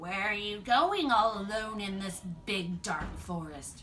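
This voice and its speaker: A woman puts on a growling character voice at a medium pitch. She goes at a fairly slow pace, with clear background noise. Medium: read story.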